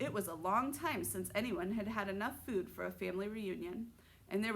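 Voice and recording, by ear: The speaker reads aloud in a natural voice, and the pitch varies in an ordinary way.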